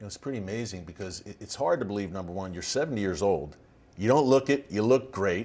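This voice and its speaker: On a very clean recording with a silent background, a man speaks in a normal speaking voice at a fairly low pitch. His intonation is lively, his pace fairly quick, and his loudness swings widely. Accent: American. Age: 40s. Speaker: podcast host. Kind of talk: interview.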